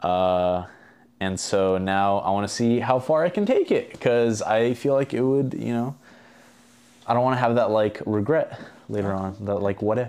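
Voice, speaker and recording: The speaking voice is unremarkable and moves at a moderate pace. Its pitch variation is ordinary. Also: man, medium pitch for a man. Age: 20s. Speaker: competitive boxer and economics student. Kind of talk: casual chat.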